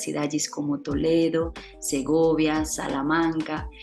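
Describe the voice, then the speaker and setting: A woman speaks with a very deep, low pitch. Music plays in the background. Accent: Spanish. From Spain. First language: Spanish (speaking Portuguese). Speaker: tourism office representative. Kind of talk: presentation.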